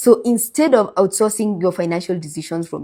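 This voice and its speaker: On a very clean recording with a silent background, a woman with a Kenyan accent speaks with lively intonation. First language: Kikuyu. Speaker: finance content creator and life insurance advisor. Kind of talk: advice monologue to camera. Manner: animated.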